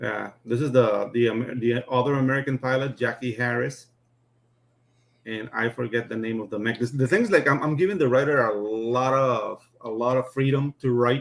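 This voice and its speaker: A man speaks with a non-native accent and fairly even intonation. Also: medium pitch for a man, moderate pace. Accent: foreign. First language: not English. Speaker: comic book artist. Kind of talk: casual chat.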